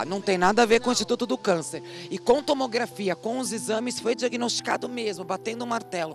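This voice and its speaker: Over clear background music, a woman talks at a fairly quick pace and medium pitch, her voice making very wide pitch swings in a dry sound with no echo. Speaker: TV reporter. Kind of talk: TV news report. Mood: serious, concerned. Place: street. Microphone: handheld.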